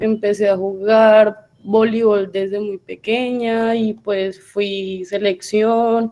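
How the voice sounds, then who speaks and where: A woman speaks with a medium pitch and a dark, mellow tone. Her intonation is monotone and flat. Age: 20s. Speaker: university student. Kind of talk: self-introduction in class.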